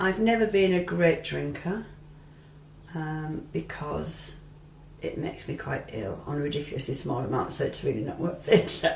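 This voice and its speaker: An English accent at a fairly slow pace, with noticeable background noise and audible room echo. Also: woman. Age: 60s. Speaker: retired midwife. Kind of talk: interview testimony. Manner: hesitant, with many ums and restarts.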